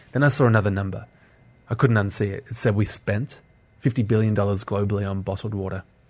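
Speaking at a very fast pace with an Australian accent, a man uses a fairly low pitch, fairly even intonation and a somewhat breathy voice. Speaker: social entrepreneur. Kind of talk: radio interview. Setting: studio.

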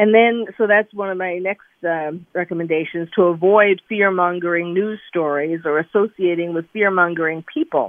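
A woman's fairly low voice at a moderate pace. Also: fairly even intonation. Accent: American. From New York. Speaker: psychiatrist. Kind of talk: radio interview.

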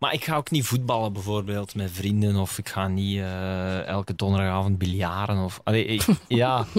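A man with an unremarkable speaking voice talks at a moderate pace with fairly low pitch, fairly even intonation and hardly any pauses. The recording is very clean, with a silent background. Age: 20s. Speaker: DJ and radio host. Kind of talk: casual chat.

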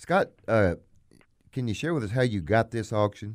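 In a Southern US accent, a man speaks with a fairly low pitch. The recording is very clean, the background silent. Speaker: auctioneer and radio show host. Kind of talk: casual radio talk show. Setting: studio. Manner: fast talker.

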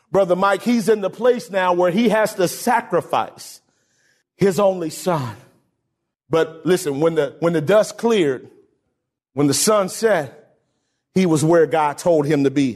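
This voice has an animated tone and ordinary pitch variation, moving at a fairly slow pace with long, frequent pauses. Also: man, high pitch for a man. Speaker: pastor. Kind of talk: sermon. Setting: church. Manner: animated call-and-response preaching, urging the congregation to shout back; fervent, repetitive exhortation with emphatic restated phrases.

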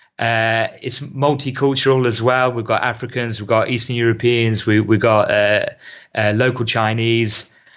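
At a moderate pace, a man with a medium pitch talks in a monotone with flat intonation. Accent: British. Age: 30s. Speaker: football coach. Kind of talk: casual chat.

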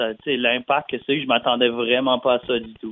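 A man's voice at a fairly quick pace, with fairly even intonation. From New Brunswick, Canada (Dieppe, near Moncton). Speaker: country pop singer. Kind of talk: interview. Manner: halting, many repetitions and fillers.

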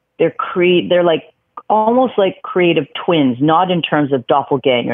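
Using lively intonation, a woman with a Canadian accent speaks at a fairly slow pace. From Vancouver, Canada. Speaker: music industry manager and memoir author. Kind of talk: casual interview. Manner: animated.

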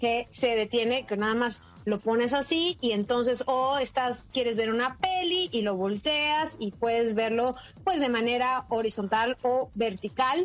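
With an animated tone and very even loudness, a woman speaks at a high pitch with ordinary pitch variation and a fairly slow pace. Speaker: technology journalist, podcast co-host. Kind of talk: casual chat, gadget review.

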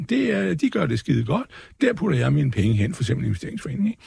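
This man's voice has vocal fry and swings very widely in pitch. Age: 60s. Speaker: market commentator. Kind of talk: casual talk. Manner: rambling, hesitant.

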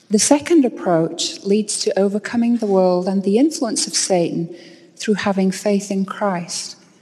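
The speaker has an American accent and a dark, mellow tone that is somewhat breathy. Delivery is at a moderate pace with lively intonation. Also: woman. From England, York. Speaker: university professor. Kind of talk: devotional speech. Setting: stage with audience.

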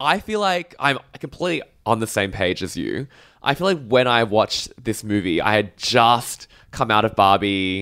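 A man with an Australian accent speaks at a medium pitch and a moderate pace, with lively intonation and a bright, sharp tone. The recording is very clean, with a silent background. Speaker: culture critic. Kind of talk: casual chat.

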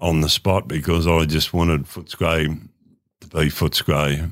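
In an Australian accent, a man talks with vocal fry at a very deep, low pitch and with monotone, flat intonation. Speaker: former football club administrator. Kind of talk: casual chat.

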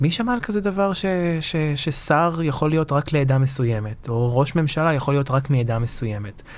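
A man speaks at a moderate pace in a fairly high pitch, his intonation lively, with noticeable background noise around him. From southern Lebanon, Marjayoun; Israel from age 9. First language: Lebanese Arabic (speaking Hebrew). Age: 20s. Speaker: public diplomacy activist, son of former militia officer. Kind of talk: interview.

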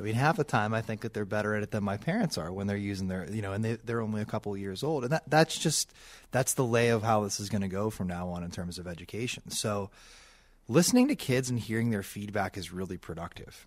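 This man has an American accent and a fairly low pitch with ordinary pitch variation. He talks at a very fast pace on a very clean recording with a silent background. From Pittsburgh area, Pennsylvania (Bethel Park). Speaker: elementary school principal. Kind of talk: radio interview.

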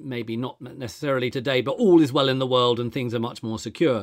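A man with a fairly high pitch talks at a very fast pace in a very clean recording with a silent background. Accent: English. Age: 50s. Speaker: podcast host. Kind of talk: interview.

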